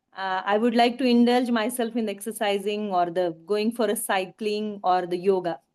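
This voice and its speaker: Against a quiet background, a woman with an Indian accent and fairly high pitch speaks at a fairly slow pace with ordinary pitch variation. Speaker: workshop participant. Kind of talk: casual sharing. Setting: video call. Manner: halting.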